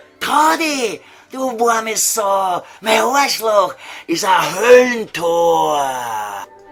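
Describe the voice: Over faint background music, a man puts on a character voice in a Viennese accent, pitched high with a fairly bright tone. He speaks very slowly, his pitch swinging widely.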